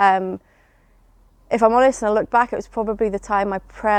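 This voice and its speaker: A woman with an English accent at a medium pitch, fairly even in intonation, in a dry, close sound with no echo and a quiet background. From England. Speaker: church member sharing testimony. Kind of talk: testimony. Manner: hesitant, many fillers.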